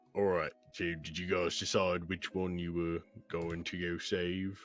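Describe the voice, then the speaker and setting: Using a put-on character voice, a man speaks in a very deep, low pitch with flat, monotone intonation at a moderate pace. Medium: actual play. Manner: rambling, warm.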